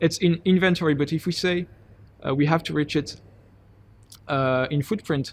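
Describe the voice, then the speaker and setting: A man with a fairly high voice talks at a moderate pace, keeping his intonation fairly even. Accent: French. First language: French. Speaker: PhD student and climate NGO volunteer. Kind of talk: interview. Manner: halting.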